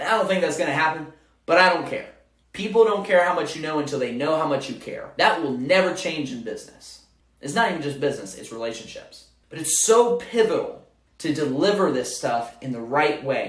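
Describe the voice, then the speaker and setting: Lively intonation, an animated tone and big swings in loudness mark this fairly quick delivery, heard with audible room echo. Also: man, fairly high pitch for a man. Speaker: business consultant for moving companies. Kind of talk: tutorial.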